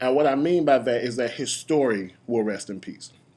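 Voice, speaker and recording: A man talks in a mid-range pitch, his voice rising and falling by an ordinary amount. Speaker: YouTube parody creator and commentator. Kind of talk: rant. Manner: animated.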